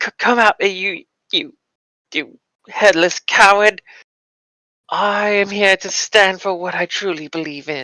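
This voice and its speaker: The speaker uses a put-on character voice that sounds shaky, at a fairly slow pace with long, frequent pauses. The sound is dry and close with no echo. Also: woman, medium pitch for a woman. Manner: shaky, frightened but defiant.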